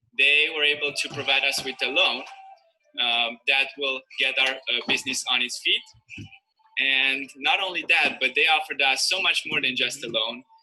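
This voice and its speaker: A man talks at a moderate pace with a fairly high pitch. Music plays in the background. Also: fairly even intonation. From Romania. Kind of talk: testimony.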